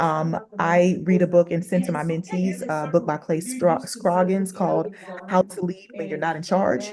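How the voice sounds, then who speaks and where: A woman talks at a moderate pace over noticeable background noise. Her voice is fairly low, with ordinary pitch variation. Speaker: panel speaker. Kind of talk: panel Q&A talk. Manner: loud; animated.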